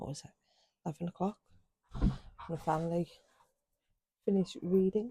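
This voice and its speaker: The quiet speaker moves at a fairly quick pace but leaves long, frequent pauses. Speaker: book vlogger. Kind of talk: casual chat. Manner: quiet, hushed.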